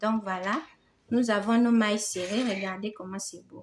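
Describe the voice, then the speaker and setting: A woman speaks with a non-native accent. Her tone is warm. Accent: non-native French, self-described. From Gabon. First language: Fang (speaking French). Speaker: crochet teacher. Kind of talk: tutorial. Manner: warm, encouraging.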